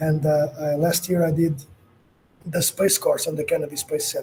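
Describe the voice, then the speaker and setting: A man's fairly high voice with a dark, mellow tone. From Portugal. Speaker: space professional. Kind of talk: casual chat. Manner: halting.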